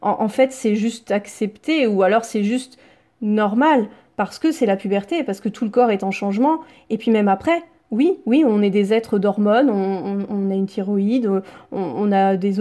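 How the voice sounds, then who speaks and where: At a moderate pace, a woman with a dark, mellow tone speaks at a fairly high pitch with ordinary pitch variation. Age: 30s. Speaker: naturopath. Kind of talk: casual interview.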